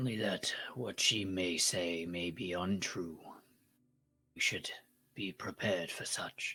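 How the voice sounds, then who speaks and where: Raspy and put-on, the character voice goes at a fairly slow pace with long, frequent pauses. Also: man, very deep, low pitch for a man. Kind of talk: stilted formal fantasy speech. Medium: actual play. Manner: measured, wary.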